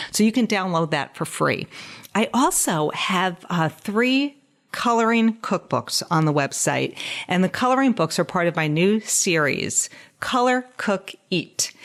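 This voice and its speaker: A plain, everyday voice from a woman at a medium pitch and fairly slow pace, very even in loudness, on a very clean recording with a silent background. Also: lively intonation. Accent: American. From New York (Westchester). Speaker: dietitian and podcast host. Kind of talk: casual podcast monologue.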